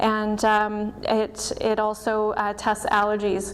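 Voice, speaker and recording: A fairly high-pitched woman's voice with audible room echo. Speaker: doctor of Chinese medicine and acupuncturist. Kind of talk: presentation. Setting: stage with audience.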